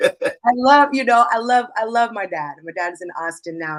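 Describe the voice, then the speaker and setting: Using a normal speaking voice, a woman with an American accent talks at a moderate pace with ordinary pitch variation. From Seattle area, Redmond. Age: 30s. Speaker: hip-hop artist and activist. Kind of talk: interview testimony.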